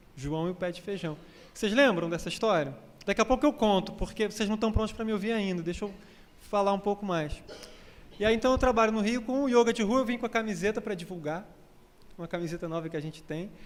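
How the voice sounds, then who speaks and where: A man speaks at a high pitch with a Rio de Janeiro accent and ordinary pitch variation. His pace is very fast, broken by long, frequent pauses. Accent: Rio de Janeiro (carioca). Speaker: spiritist lecturer and yoga teacher. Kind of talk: lecture. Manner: conversational, with frequent repetitions.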